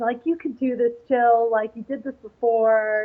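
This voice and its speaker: A woman speaks with a New York accent in a fairly high voice. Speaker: figure bodybuilding competitor. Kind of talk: interview. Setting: live event in New York. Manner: halting, many fillers.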